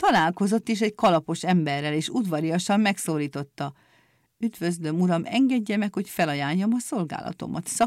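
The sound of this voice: Someone reads aloud. The reading voice is unforced.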